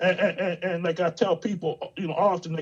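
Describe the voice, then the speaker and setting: The man keeps his intonation fairly even while noticeable background noise sits behind him. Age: 60s. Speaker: minister and entrepreneur. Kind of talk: casual chat. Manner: halting.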